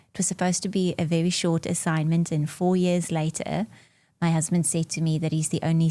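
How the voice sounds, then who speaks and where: On a very clean recording with a silent background, a woman talks at a fairly quick pace in a fairly low, dark, mellow voice with fairly even intonation. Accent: South African. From South Africa, Bloemfontein. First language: Afrikaans. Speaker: marketing executive. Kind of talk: podcast interview. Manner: frequent fillers (um, uh).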